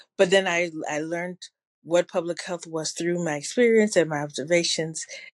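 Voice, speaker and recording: Speaking with a Ghanaian accent, a woman uses a fairly low-pitched voice. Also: fairly even intonation, moderate pace. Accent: sounds Ghanaian. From New Jersey, Ghanaian family. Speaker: public health evaluation consultant. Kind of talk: interview conversation.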